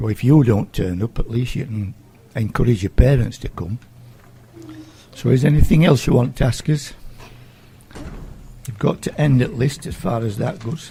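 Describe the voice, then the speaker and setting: Over noticeable background noise, a man with a South Yorkshire accent speaks at a moderate pace and medium pitch, with lively intonation and long, frequent pauses. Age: 70s. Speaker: community group chairman. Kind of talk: radio interview. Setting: school.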